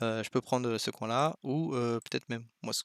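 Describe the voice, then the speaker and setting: Delivered at a fairly quick pace, the speech comes through a very clean recording that is dry and close, with no echo and a silent background. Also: man. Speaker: go teacher commenting a student's game. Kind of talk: game review commentary. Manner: fast; hesitant, many fillers.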